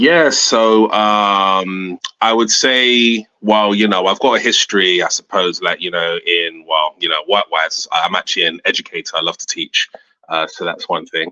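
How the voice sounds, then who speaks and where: A man speaks at a moderate pace. He has a British accent. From London, England, Jamaican heritage. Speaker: comic book creator and educator. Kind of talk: interview. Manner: halting, many fillers.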